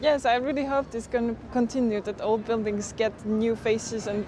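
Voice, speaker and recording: Over noticeable background noise, a woman speaks at a moderate pace. Her pitch is fairly high and her intonation fairly even. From eastern Slovakia. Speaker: local guest, recent graduate. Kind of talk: TV interview.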